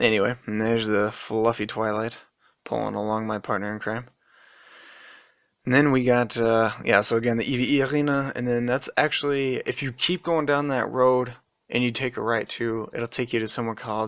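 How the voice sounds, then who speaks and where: A man speaks in an American accent with an unremarkable speaking voice and a medium pitch. His pace is fairly quick and his intonation fairly even. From United States. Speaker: vlogger. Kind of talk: casual video commentary. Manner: rambling with many fillers.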